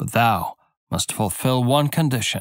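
In a very clean recording with a silent background, a man speaks at a fairly slow pace in a dramatic tone. His pitch is medium, with ordinary variation. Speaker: audiobook narrator. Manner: measured, storyteller's cadence with dramatic, character-voiced dialogue.

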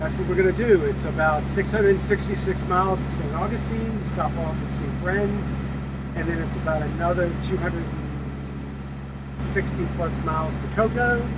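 Loud background noise surrounds a man speaking at a very slow pace. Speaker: boat owner vlogger. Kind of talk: casual vlog chat. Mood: relaxed, cheerful. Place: boat. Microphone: camera far.

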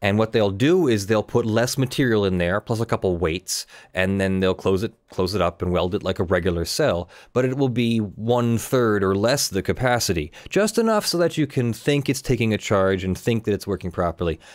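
Against a quiet background, a man with an unremarkable speaking voice and fairly low pitch talks at a moderate pace with ordinary pitch variation, very even loudness and hardly any pauses. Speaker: live stream host. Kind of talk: commentary. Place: home room. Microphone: earbuds.

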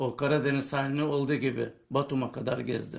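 A man with a fairly high pitch, vocal fry and a monotone, flat intonation, over a quiet background. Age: 70s. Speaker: war veteran and antique collector. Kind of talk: interview answer. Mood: proud, earnest. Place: home room. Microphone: handheld.

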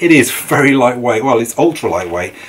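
Light noise hums in the background while a man talks. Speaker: bikepacking gear reviewer. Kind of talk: tutorial. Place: garage.

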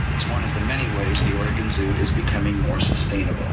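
A man rushes along at a very fast pace over loud background noise. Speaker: recorded tour narrator. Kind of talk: tour announcement. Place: train.

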